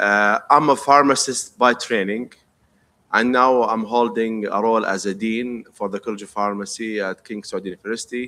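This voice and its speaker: A man with an Arabic accent speaks at a moderate pace in a medium pitch. His tone is bright and sharp, with fairly even intonation. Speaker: pharmacy professor and dean. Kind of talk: presentation. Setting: conference stage.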